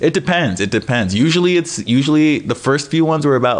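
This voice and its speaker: In an American accent, a man talks at a very fast pace, his pitch swinging very widely. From US Midwest, Wisconsin (Appleton). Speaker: magician and comedian. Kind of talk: casual chat.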